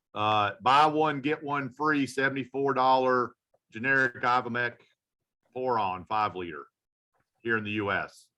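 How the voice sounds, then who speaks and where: A man talks at medium pitch with ordinary pitch variation and a bright, sharp tone. His pace is fairly slow, with long, frequent pauses. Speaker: veterinarian. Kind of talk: casual panel discussion. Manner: animated, with frequent restarts and fillers.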